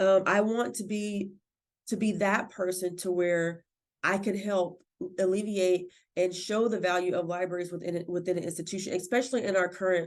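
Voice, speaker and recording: A woman talks at a fairly quick pace with a medium pitch. Her intonation is fairly even, and the background is quiet. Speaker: library director. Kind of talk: podcast interview. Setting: podcast recording. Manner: loud.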